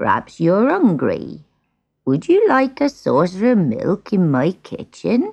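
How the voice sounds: A woman puts on a character voice at a fairly low pitch, moving slowly with very wide pitch swings. Her slightly mellow tone carries vocal fry and a slightly husky edge.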